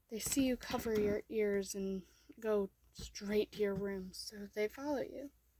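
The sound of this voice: Someone speaks in an unforced reading voice.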